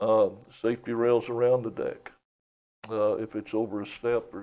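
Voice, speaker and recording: The voice has a dark, mellow tone and an East Tennessee accent. Its loudness swings widely at a moderate pace. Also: man. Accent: Southern US (East Tennessee). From US South, East Tennessee. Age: 70s. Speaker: county commissioner and property appraiser. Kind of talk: casual interview. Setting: studio.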